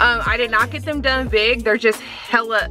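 A woman speaks at a moderate pace in a dry sound with no echo while clear music plays in the background. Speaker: beauty vlogger. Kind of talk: casual vlog chat.

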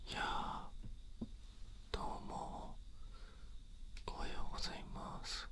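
A man is talking. Loud background noise surrounds his voice. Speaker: ASMR creator. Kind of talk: whispered ASMR talk. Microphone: studio mic.

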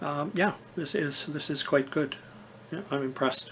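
A man speaks at a fairly slow pace in a fairly bright tone.

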